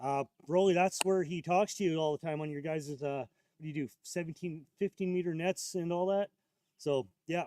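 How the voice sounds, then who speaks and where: Loud and high-pitched, a man speaks at a moderate pace with ordinary pitch variation in a dry, close sound with no echo. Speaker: ham radio operator and live streamer. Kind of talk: casual live stream chat. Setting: outdoors at a park, live stream. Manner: halting.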